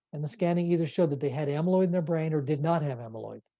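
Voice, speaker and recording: A man's dark, mellow tone carries ordinary pitch variation over a quiet background. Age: 60s. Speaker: neurologist. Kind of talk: lecture.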